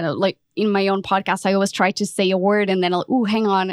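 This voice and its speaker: A woman talks at a medium pitch with monotone, flat intonation. The sound is dry and close with no echo, on a very clean recording with a silent background. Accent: Portuguese. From Portugal. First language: Portuguese. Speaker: podcast consultant. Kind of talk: interview.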